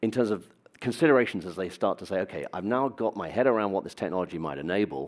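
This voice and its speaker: The voice races along at a very fast pace with lively intonation. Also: man, fairly low pitch for a man. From Britain. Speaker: business executive. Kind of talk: conference talk. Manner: hesitant with fillers.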